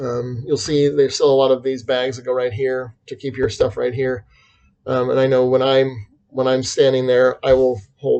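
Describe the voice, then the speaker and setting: With an American accent, a man speaks at a medium pitch and moderate pace, his dark, mellow tone held in a monotone, flat intonation. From USA. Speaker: travel vlogger. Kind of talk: casual talk to camera. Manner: halting, many fillers.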